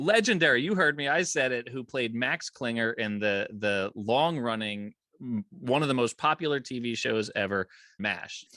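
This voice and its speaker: Against a quiet background, a man speaks with a bright, sharp tone. His enthusiastic delivery has lively intonation. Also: medium pitch for a man, moderate pace. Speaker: podcast host. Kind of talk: podcast interview.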